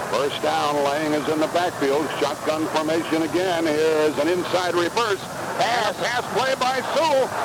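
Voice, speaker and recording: Noticeable background noise sits behind a high-pitched man. His intonation is lively and his loudness very even. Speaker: radio play-by-play announcer. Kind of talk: live sports radio play-by-play. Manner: fast, excited.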